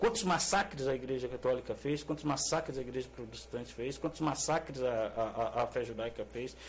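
Medium-pitched male voice with vocal fry. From Brazil, São Paulo state (Mogi das Cruzes). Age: 50s. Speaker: teacher and filmmaker. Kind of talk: interview conversation.

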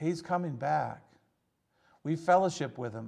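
A man with a Michigan accent talks with ordinary pitch variation. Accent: Midwestern American (Michigan). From Michigan, Detroit area. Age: 60s. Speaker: pastor. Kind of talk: sermon. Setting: church service, recorded for online viewers. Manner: halting, with frequent fillers and repeats.

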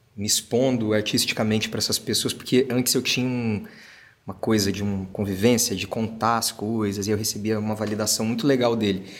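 A man's medium-pitched, normal speaking voice at a moderate pace with fairly even intonation. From Brazil, interior of Paraná. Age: 30s. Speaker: actor and singer. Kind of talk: casual chat.

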